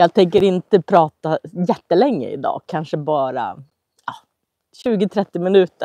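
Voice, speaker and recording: A dark, mellow tone with lively intonation, in a dry, close sound with no echo. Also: woman. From Sweden, Köping. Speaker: Swedish language teacher. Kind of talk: live language-learning stream. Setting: outdoors at summer cottage, livestream. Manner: slow, clear.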